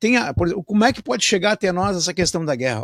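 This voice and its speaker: The man's voice comes through with a dry, close sound and no echo. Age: 60s. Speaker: radio host. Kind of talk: radio interview. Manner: halting; animated.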